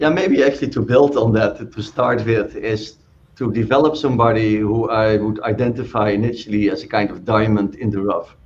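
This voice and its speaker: With a Dutch accent, a man talks at a fairly quick pace with ordinary pitch variation. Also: medium pitch for a man. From Netherlands. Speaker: physician and pharma executive. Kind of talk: panel discussion.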